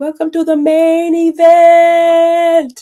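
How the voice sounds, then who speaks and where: This is a put-on character voice at an extremely high pitch. Its intonation stays monotone and flat. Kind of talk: announcer. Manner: announcing.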